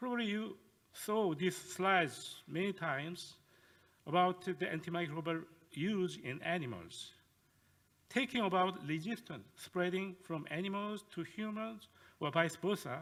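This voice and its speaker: At a fairly slow pace, a man speaks in a high voice. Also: ordinary pitch variation. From South Korea. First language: Korean. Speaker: professor. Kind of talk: lecture. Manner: halting.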